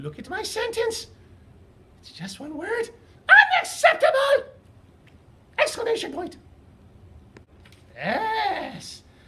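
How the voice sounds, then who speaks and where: A loud, cartoonish character voice at an extremely high pitch breaks up its speech with long, frequent pauses. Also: fairly slow pace. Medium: puppet. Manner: loud, excited.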